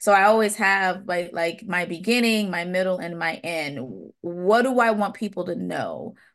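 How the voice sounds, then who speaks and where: Over a quiet background, a woman talks at medium pitch with ordinary pitch variation and hardly any pauses. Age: 30s. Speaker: public health doctoral candidate. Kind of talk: interview. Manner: slow, relaxed speech.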